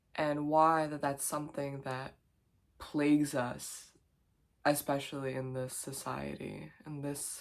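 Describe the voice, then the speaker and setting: This woman's voice sits very deep and low, delivered in a flat monotone. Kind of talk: casual talk to camera. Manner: reflective, conversational.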